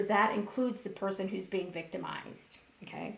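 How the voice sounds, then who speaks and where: A woman speaks at a medium pitch and a moderate pace, with fairly even intonation and vocal fry. There is audible room echo. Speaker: workplace bullying educator. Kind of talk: live-streamed talk. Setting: Facebook Live stream. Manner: loud.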